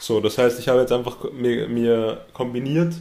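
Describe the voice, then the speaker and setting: A man speaks fairly slowly, his medium pitch showing ordinary variation. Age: 20s. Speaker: entrepreneur. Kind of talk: interview. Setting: host's office.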